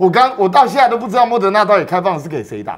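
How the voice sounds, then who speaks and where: Against a quiet background, a man talks very fast. His pitch is high and his intonation lively. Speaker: political commentator. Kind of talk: political talk show. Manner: emphatic. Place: studio. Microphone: lapel.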